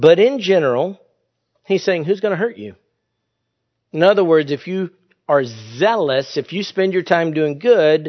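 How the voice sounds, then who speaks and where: A man is speaking. His intonation is lively. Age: 50s. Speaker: pastor. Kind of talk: sermon.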